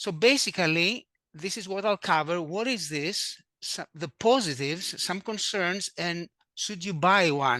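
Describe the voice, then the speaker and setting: A raised, projected voice with a bright, sharp tone and lively intonation. The recording is very clean, with a silent background and a dry, close sound free of echo. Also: man. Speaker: stereo photography club founder and editor. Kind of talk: presentation.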